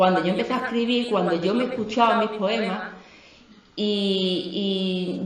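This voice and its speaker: A woman with an Andalusian accent speaks with ordinary pitch variation over noticeable background noise. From Andalusia, Dos Hermanas. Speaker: poet and businesswoman. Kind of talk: book presentation talk.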